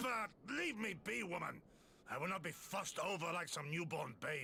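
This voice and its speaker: A man uses a put-on character voice, raspy, raised and projected, at a high pitch with lively intonation. His pace is moderate, with clear background noise behind him. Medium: video game. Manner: formal, archaic.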